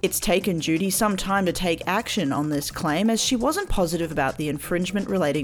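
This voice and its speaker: Delivered at a fairly quick pace with ordinary pitch variation, the speech sits over noticeable background noise. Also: woman. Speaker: news segment presenter. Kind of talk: news reading. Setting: radio studio.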